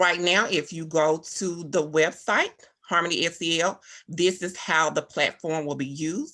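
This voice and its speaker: A woman with a fairly low pitch and a bright, sharp tone speaks at a fairly slow pace with fairly even intonation. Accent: Southern US. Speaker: teacher. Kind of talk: presentation. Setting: video call.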